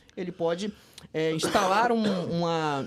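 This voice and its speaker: A man in a Ceará accent, with ordinary pitch variation. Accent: Ceará (northeastern Brazilian). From northeastern Brazil (Ceará), then Porto Velho, Rondônia. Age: 30s. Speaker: corporate investigator. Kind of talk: podcast interview, casual chat. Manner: hesitant, with fillers and restarts.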